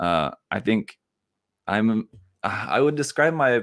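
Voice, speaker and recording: This man has an American accent and a medium pitch with ordinary pitch variation. The sound is dry and close with no echo, on a very clean recording with a silent background. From United States. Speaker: YouTube model kit reviewer. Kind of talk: casual interview chat. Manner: halting.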